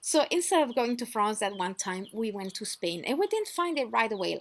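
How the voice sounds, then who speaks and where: Amid noticeable background noise, a woman with a French accent lets her pitch swing very widely. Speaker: off-grid lifestyle vlogger. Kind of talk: casual storytelling vlog. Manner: conversational with fillers and restarts.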